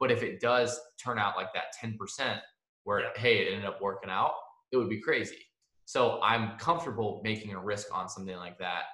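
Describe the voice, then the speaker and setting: A man's fairly quick speech carries audible room echo. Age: young. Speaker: podcast host. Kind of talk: casual chat.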